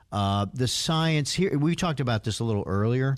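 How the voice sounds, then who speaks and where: A man speaks in a normal speaking voice at a moderate pace with lively intonation. The recording is very clean, with a silent background. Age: 60s. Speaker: lawyer. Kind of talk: casual chat.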